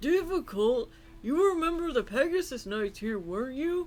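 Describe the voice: The voice is a put-on character voice. Its pitch is high. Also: moderate pace.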